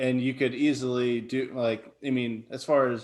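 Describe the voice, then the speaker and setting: Against a quiet background, a man with medium pitch and fairly even intonation has an unremarkable speaking voice. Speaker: podcast co-host. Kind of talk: casual chat.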